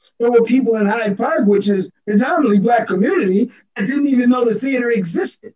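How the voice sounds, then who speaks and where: Over a quiet background with audible room echo, a man talks at a very fast pace in an extremely high pitch. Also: ordinary pitch variation. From Buffalo, New York; New York. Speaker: theatre director and actor; actor. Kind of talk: panel discussion.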